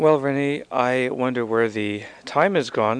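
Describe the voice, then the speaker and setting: A man speaks at a medium pitch with an unremarkable speaking voice. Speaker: radio DJ. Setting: radio studio broadcast. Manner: relaxed, chatty, conversational, with 'uh' fillers and a wry, easygoing sign-off; upbeat, smooth, mock-salesy in the ad read with a laugh.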